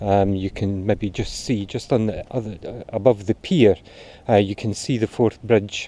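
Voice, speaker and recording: In a Scottish accent, a man speaks at a moderate pace with a fairly low pitch, a dark, mellow tone and fairly even intonation against a quiet background. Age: 60s. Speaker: amateur runner vlogger. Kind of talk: casual vlog narration. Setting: outdoors. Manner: hesitant, many fillers.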